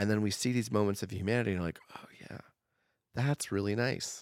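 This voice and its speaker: A man with an American accent talks in a normal speaking voice at a fairly low pitch with ordinary pitch variation. The recording is very clean with a silent background and a dry, close sound with no echo. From Oregon, US. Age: 30s. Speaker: comedian and newspaper writer. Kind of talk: casual chat.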